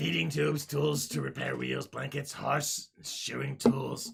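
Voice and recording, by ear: Raspy and at medium pitch, a man performs a put-on character voice. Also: moderate pace.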